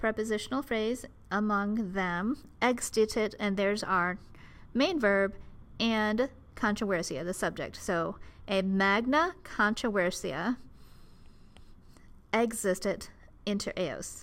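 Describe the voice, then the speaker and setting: A woman with an Ohio accent at a medium pitch, very slow in pace, with long, frequent pauses. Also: ordinary pitch variation. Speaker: Latin teacher. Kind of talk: educational commentary.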